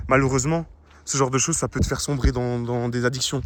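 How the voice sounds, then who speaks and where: Mumbling at a very fast pace, a man talks at a medium pitch. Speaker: anonymous vlogger. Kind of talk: personal monologue vlog. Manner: mumbling, swallows words, halting.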